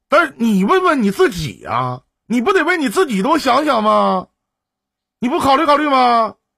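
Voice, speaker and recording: A man speaks at a moderate pace in an animated, raised and projected voice, his extremely high pitch swinging very widely with a bright, sharp tone. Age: 40s. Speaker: live-stream relationship advice host. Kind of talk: call-in advice chat. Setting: live stream.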